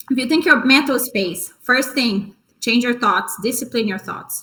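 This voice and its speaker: This is a woman speaking. Her tone is bright and sharp. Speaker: wellness coach and former tennis player. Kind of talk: workshop talk. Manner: fast.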